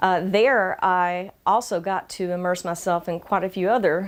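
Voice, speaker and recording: On a very clean recording with a silent background, a woman with a Georgia accent speaks at a medium pitch and a fairly slow pace. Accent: Southern US (Georgia), slightly toned down. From Georgia, US South. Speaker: community interviewer, channel host. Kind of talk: personal introduction monologue. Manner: frequent filler hesitations.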